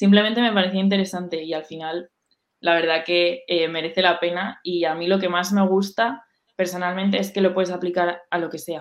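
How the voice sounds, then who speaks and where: Monotone, flat intonation at a fairly quick pace. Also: woman, fairly low pitch for a woman. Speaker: university student, event organizer. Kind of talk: casual interview on a live stream.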